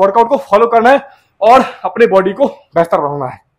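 This man's voice sits high in pitch. It shows ordinary pitch variation.

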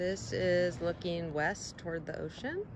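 The speech comes at a fairly slow pace, the sound dry with no echo and background noise noticeable. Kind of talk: property tour narration. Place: street. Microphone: phone near.

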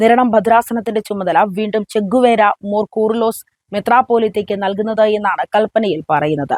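This woman has a fairly high pitch, ordinary pitch variation and a normal speaking voice. The recording sounds dry and close, with no echo. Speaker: church news commentator. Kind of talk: scripted news commentary.

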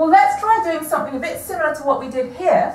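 Audible echo from the room surrounds a woman as she talks. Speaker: maths lecturer. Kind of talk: lecture. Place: classroom. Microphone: camera far.

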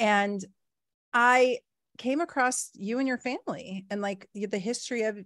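A woman at a moderate pace with ordinary pitch variation, against a quiet background, the sound dry with no echo. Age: 40s. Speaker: podcast host. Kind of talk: casual interview chat. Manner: halting. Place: home room. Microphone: studio mic.

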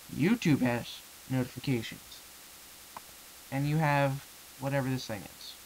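A man's medium-pitched voice at a moderate pace, with fairly even intonation, big swings in loudness, long and frequent pauses, and noticeable background noise. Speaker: YouTube vlogger. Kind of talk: angry rant to camera about a website. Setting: home webcam or screen recording. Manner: indignant, swearing, ranting; unsure, rambling, hesitant.

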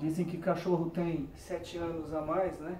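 A man speaks at a fairly slow pace in a monotone, flat way. Audible room echo and light background noise surround him. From Brazil. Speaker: YouTuber. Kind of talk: casual vlog narration. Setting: at home with dog. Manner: casual, chatty. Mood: relaxed, cheerful. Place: garden. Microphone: camera far.

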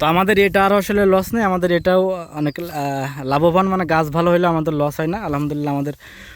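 A man speaks with a high pitch and fairly even intonation. Noticeable background noise runs under his voice. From Bangladesh, Satkhira coastal area. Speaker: farmer and farming video host. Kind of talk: field tour walkthrough. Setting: outdoors in a rice field.

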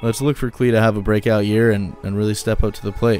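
With music playing in the background, the man's fairly low voice holds a fairly even intonation. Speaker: sports news commentator. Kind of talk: casual talk to camera.

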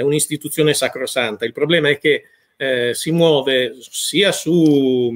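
With a normal speaking voice, a man talks fairly high in pitch, his pitch shifting in an ordinary way. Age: 50s. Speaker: food critic; interviewee. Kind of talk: interview. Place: home room.

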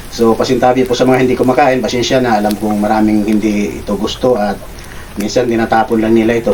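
Noticeable background noise sits behind a man's medium-pitched voice. He speaks at a very fast pace with ordinary pitch variation. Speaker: cooking vlogger. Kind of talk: cooking tutorial. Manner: casual, with frequent filler hesitations.

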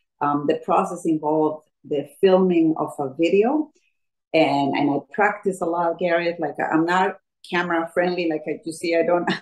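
A woman speaks with a Colombian accent at a moderate pace. Her pitch sits fairly low and her intonation stays fairly even. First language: Spanish. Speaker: fitness instructor. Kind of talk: personal story interview. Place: home room. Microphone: video call.

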